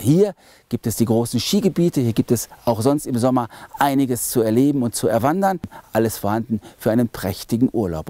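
A man talks with lively intonation in a dark, mellow tone. The sound is dry with no echo, and the background is quiet. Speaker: presenter. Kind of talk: travel vlog presentation. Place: open country.

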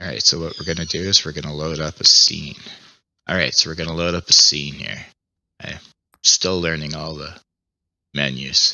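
Man with a very deep, low pitch and vocal fry, monotone and flat, moderate pace with long, frequent pauses, dry sound with no echo and a quiet background. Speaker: VR gaming YouTuber. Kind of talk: casual VR gameplay commentary. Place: home room. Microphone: headset.

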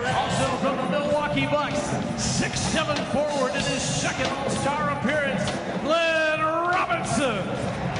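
Fairly slow speech with audible room echo and loud background music. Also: man. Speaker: public address announcer. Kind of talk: arena public address player introductions. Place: stadium. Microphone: pa.

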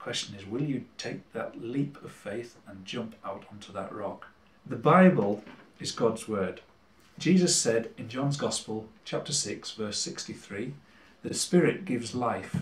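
A somewhat breathy voice in a Cumbrian accent moves at a fairly slow pace with lively intonation. Room echo is audible. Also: man. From Cumbria, England. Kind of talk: religious talk to camera. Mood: warm, encouraging. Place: kitchen. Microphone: camera far.

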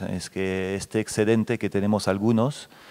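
A man with a French accent, fairly low-pitched, at a moderate pace with fairly even intonation. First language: French (speaking Spanish). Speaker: company representative on a panel. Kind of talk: panel discussion. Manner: hesitant, many fillers. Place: hall. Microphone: handheld.

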